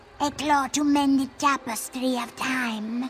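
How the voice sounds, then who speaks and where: In a put-on character voice, a woman speaks at a very slow pace and a high pitch. Her intonation stays fairly even. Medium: video game. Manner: formal, refers to self in third person.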